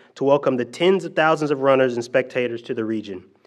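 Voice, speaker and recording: Against a quiet background, a man talks at a very fast pace with ordinary pitch variation. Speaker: presenter. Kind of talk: formal prepared remarks at a press conference. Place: hall. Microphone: podium.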